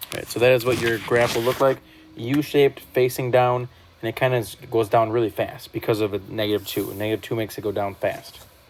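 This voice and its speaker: Very fast speech from a man at medium pitch, fairly even in intonation, with noticeable background noise. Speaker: math teacher. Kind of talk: recorded lesson. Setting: whiteboard screen recording. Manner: casual.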